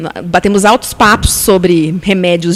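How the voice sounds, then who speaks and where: A woman's voice with noticeable background noise. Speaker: beautician and pharmaceutical sales rep. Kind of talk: casual interview chat. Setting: live-streamed podcast studio.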